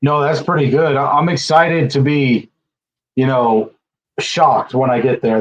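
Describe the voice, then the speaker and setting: Here a man speaks at a fairly high pitch. His pitch variation is ordinary. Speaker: livestream co-host, travel vlogger. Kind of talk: casual chat. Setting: livestream. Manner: fast.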